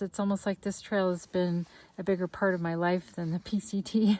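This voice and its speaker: Her voice has a dark, mellow tone at a moderate pace, and the speaker is a woman. The recording is very clean with a silent background. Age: 60s. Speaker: long-distance hiker and vlogger. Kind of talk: personal video diary. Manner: casual, with frequent filler words.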